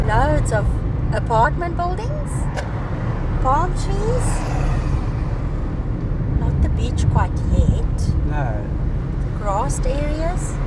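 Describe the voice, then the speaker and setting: A woman talks at a very slow pace, with long, frequent pauses. The sound is dry with no echo, but background noise is loud. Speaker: travel vlogger in the car. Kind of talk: casual travel commentary. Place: car. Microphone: camera far.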